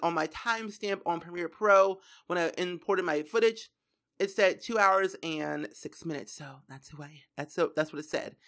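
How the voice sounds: A woman does a put-on character voice that sounds raspy, with medium pitch and a moderate pace. Her loudness swings widely, and the recording is very clean with a silent background.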